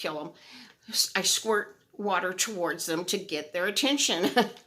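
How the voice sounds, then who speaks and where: A woman speaks loudly at a medium pitch. Her tone is bright and sharp. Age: old. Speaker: video blogger. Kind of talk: casual chat. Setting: outdoors.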